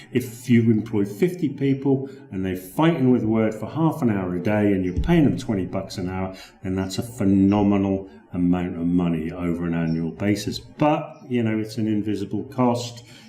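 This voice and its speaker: Amid noticeable background noise and audible room echo, a man with a British accent speaks at a moderate pace, his fairly low voice carrying lively intonation. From Britain. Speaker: Microsoft Word consultant. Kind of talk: sales pitch. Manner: conversational, with repetitions.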